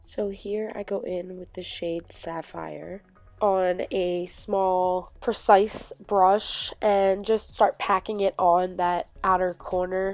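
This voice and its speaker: Over music in the background, a woman speaks in a monotone with flat intonation. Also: medium pitch for a woman. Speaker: beauty vlogger. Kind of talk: makeup tutorial voice-over. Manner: casual, chatty.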